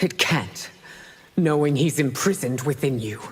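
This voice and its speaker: A woman's put-on character voice, growling and very deep, with lively intonation at a moderate pace. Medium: video game. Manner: regal, stern.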